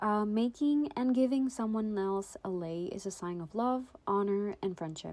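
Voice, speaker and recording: This woman's voice has a dark, mellow tone. Her intonation is lively. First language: not English. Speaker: art YouTuber. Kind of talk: casual voiceover narration. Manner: hesitant, many fillers.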